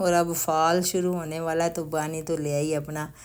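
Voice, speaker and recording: This woman's pitch sits very deep and low. Her intonation is flat and monotone. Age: 60s. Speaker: family vlogger. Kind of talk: casual shopping vlog narration. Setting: in a store.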